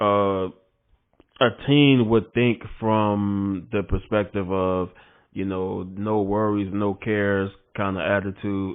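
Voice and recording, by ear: Speaking slowly, a man with a low voice keeps a clear, smooth tone and moves his pitch very little.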